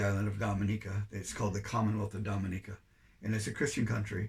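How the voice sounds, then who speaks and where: A man's voice sits at a fairly low pitch and sounds somewhat breathy. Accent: Canadian. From Canada. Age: 70s. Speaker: volunteer overseas missionary. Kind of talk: interview.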